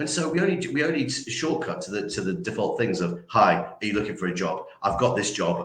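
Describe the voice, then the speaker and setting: With audible room echo, a man in a Yorkshire accent talks at a fairly quick pace, using very wide pitch swings and vocal fry. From Yorkshire, northern England. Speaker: recruitment trainer. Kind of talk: interview. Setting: livestream. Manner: many fillers and repetitions.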